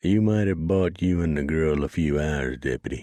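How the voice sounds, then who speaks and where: A man puts on a character voice with a very deep, low pitch. His loudness stays very even. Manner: flat, unemotional.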